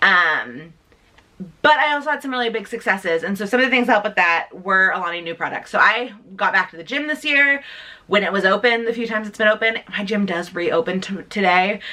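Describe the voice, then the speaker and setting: Lively in intonation, a woman at a medium pitch talks at a fairly quick pace over noticeable background noise. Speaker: beauty and lifestyle youtuber. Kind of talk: casual vlog chat. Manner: fast.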